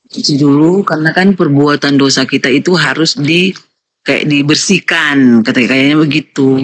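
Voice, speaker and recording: This voice has a Manado accent and ordinary pitch variation at a fairly slow pace. The sound is dry and close, with no echo. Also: woman. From Manado, North Sulawesi, Indonesia. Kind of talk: religious discussion, questions. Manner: halting, many fillers.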